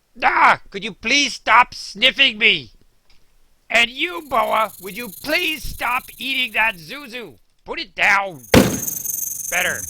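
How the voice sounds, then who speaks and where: A fairly high-pitched cartoonish character voice at a fairly slow pace, full of long, frequent pauses. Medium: puppet show. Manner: exasperated.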